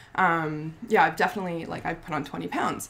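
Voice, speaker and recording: Amid noticeable background noise, a woman with a fairly low pitch speaks at a very fast pace. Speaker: skincare business owner and vlogger. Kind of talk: casual vlog monologue. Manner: halting with many ums.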